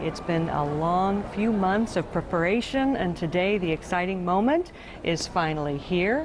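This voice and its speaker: A woman talks at a fairly slow pace with very wide pitch swings. Noticeable background noise can be heard. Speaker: TV news reporter and anchor. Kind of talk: TV news anchor delivery.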